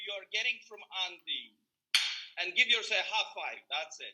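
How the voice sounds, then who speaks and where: A man with a Polish accent and a bright, sharp tone. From Poland. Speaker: motivational speaker. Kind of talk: motivational talk. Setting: video call.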